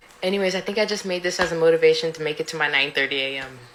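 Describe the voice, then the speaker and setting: A woman speaks at medium pitch with an American accent and ordinary pitch variation. Her pace is fairly quick, and background noise is noticeable. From United States. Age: 20s. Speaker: college student. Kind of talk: casual vlog monologue.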